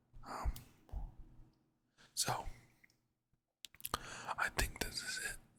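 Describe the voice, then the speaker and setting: In a relaxed tone, a man speaks in a whisper. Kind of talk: casual talk to camera, trading commentary. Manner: relaxed, conversational.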